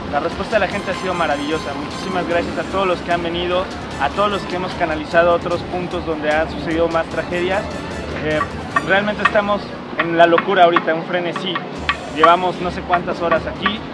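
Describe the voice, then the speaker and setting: A man talks at a very fast pace. The sound is dry with no echo, with music in the background. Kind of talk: interview answer. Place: street. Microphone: handheld.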